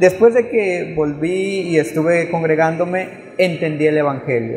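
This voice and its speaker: Speaking at a fairly slow pace in a Chiapas accent, a high-pitched man is heard over noticeable background noise with audible room echo. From Chiapas, Mexico (Tseltal community). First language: Tseltal (speaking Spanish). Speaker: missionary. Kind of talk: testimony. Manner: halting.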